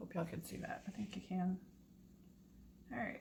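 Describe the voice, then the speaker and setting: Talking at a fairly quick pace, a woman of medium pitch speaks with vocal fry. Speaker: acrylic pour painting hobbyist youtuber. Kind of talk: tutorial. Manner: casual, chatty; mumbling.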